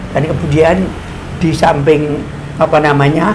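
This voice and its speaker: The speaker has a Javanese accent. Noticeable background noise can be heard. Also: man. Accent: Javanese-accented Indonesian. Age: 80s+. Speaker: creator of the regional emblem, interviewee. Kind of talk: interview. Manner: halting.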